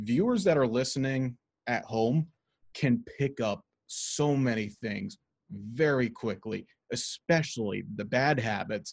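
A man's plain, everyday voice at medium pitch, with lively intonation and a fairly slow pace. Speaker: sports broadcasting podcast host. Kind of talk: casual podcast conversation.

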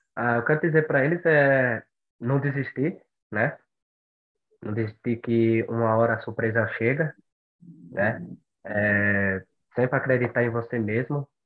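A man speaks at a fairly slow pace with long, frequent pauses. His pitch is medium, with ordinary variation. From Brazil, Bahia (Monte Santo). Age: 20s. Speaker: long-distance runner. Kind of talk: podcast interview.

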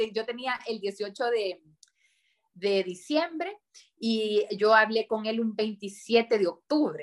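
Very slowly, this woman speaks in a fairly high voice that rises and falls in an ordinary way. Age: 30s. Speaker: politician. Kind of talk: interview. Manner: halting.

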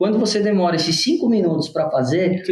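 This man's voice sits high in pitch. His pitch varies by an ordinary amount. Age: 30s. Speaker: food business co-owner. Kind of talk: podcast interview.

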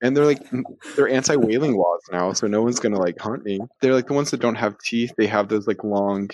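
This man has an unremarkable speaking voice, medium in pitch, with an American accent. He talks at a fairly quick pace with ordinary pitch variation. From Texas, Houston suburb. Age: 20s. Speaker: guest, language learner. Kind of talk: casual chat.

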